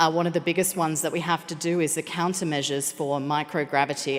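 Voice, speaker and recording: A woman with an Australian accent speaks very fast in a fairly low voice. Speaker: space operations engineer. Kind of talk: conference presentation.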